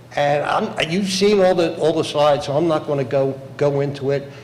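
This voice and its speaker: A man speaks with an American accent and ordinary pitch variation. Audible room echo and noticeable background noise surround his voice. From Bensalem, Pennsylvania (Philadelphia area). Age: 70s. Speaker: local politician. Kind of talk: public hearing testimony. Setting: public hearing room. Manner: halting.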